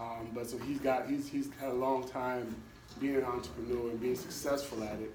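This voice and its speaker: The voice is monotone, with flat intonation, at a moderate pace. Noticeable background noise and audible room echo are present. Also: man, medium pitch for a man. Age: 40s. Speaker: community organization host. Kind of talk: speaker introduction. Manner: halting, many fillers.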